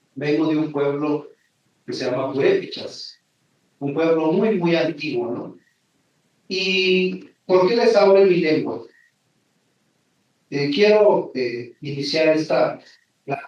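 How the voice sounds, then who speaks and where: Very slow and full of long, frequent pauses, a man's fairly high voice carries ordinary pitch variation. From Mexico, Michoacán (Janitzio island). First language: Purépecha (speaking Spanish). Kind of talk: conference talk.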